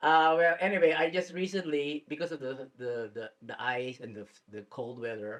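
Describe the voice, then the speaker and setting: An ordinary speaking voice moves at a moderate pace with lively intonation and big swings in loudness. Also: man, fairly high pitch for a man. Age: 60s. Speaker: community talk show host. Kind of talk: interview. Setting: studio.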